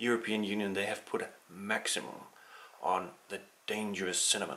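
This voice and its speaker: Noticeable background noise is present. The speaker goes at a moderate pace with monotone, flat intonation. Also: man. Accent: Danish. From Denmark. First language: Danish. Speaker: political commentator. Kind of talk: opinion monologue. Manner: hesitant, many fillers.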